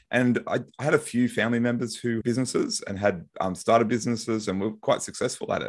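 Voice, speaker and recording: Talking at a fairly quick pace, a man with an Australian accent uses a medium pitch with ordinary pitch variation. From Brisbane, Australia. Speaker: lawyer and author. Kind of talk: casual interview chat.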